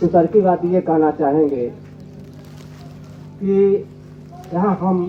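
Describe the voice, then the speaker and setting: A man speaks with fairly even intonation in a fairly high voice. Noticeable background noise runs underneath. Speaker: spiritual speaker, devotee. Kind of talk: religious discourse. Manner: speaks slowly.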